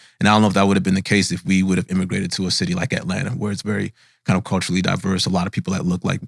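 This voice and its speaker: With an American accent, a man speaks at a very deep, low pitch in a dry, close sound with no echo. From Nigeria, raised from age five in Minnesota. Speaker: tech company founder. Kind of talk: interview conversation. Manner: casual, many fillers and repeats.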